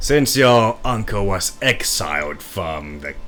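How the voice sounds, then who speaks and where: A man does a raspy put-on character voice with clear music in the background. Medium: actual play. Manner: measured, questioning.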